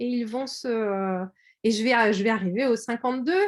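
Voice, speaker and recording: A woman at a moderate pace. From France, Orléans area. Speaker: quilting artist and shop owner. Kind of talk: video call presentation. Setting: video call. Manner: hesitant, many fillers.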